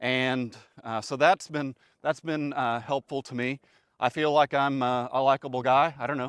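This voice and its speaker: A man speaks at a moderate pace and medium pitch, with monotone, flat intonation. The recording is very clean, with a silent background and a dry, close sound with no echo. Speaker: retiree vlogger. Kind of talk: informal vlog monologue. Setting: outdoors on a country road. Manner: halting, many fillers.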